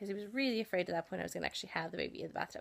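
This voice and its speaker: A woman speaks with an American accent. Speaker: vlogger. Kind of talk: personal storytelling vlog. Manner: hesitant, many fillers.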